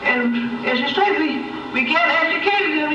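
A woman's raised, projected voice at a fairly slow pace, with very wide pitch swings, audible room echo and noticeable background noise. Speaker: retired school worker. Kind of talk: public meeting remarks. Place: car.

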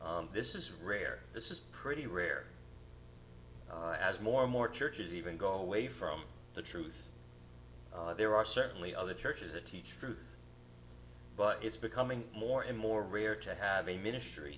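With an ordinary speaking voice, a man speaks at a fairly low pitch and a moderate pace, his intonation lively, over light background noise. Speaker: guest preacher. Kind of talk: sermon. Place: church.

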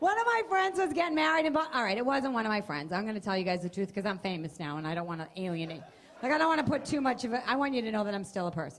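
A woman talking very fast, fairly high-pitched, with an American accent. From Boston area, US Northeast. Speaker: stand-up comedian. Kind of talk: stand-up. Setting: stage with audience. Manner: animated. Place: stage. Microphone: handheld.

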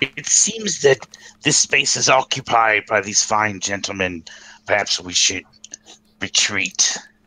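This man uses a put-on character voice, fairly low in pitch, at a fairly slow pace with long, frequent pauses. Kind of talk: tabletop in-character speech. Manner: courtly, overly formal.

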